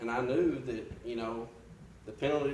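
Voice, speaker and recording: A man talks in a medium pitch. Noticeable background noise and audible room echo fill the recording. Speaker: Sunday school teacher. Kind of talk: testimony. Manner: loud; halting.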